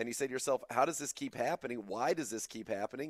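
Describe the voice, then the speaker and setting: Recorded very cleanly against a silent background with a dry, close sound and no echo, a man with an American accent speaks very fast at a medium pitch. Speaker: sports radio host. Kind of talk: casual sports talk. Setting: studio.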